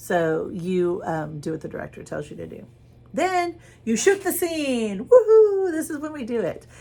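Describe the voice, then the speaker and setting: Somewhat breathy, a woman speaks at a fairly slow pace with very wide pitch swings and audible room echo. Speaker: drama teacher. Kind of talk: lecture.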